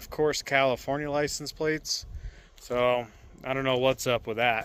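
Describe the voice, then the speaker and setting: A man with a fairly high pitch speaks at a fairly slow pace. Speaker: camping vlogger. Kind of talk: casual vlog narration. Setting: outdoors at campsite. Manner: talking quietly.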